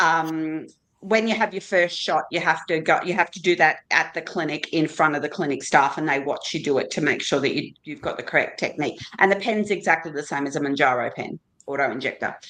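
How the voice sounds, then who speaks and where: Speaking at a fairly quick pace, a woman with an Australian accent has a very deep, low pitch. Her pitch varies in an ordinary way. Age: 60s. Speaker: GLP-1 medication user on a panel. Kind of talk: casual panel chat.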